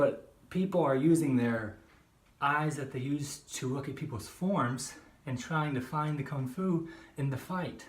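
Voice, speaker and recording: Fairly high in pitch, a man talks at a fairly slow pace with ordinary pitch variation. His voice is somewhat breathy. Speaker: kung fu practitioner. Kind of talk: casual talk to camera. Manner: unscripted monologue.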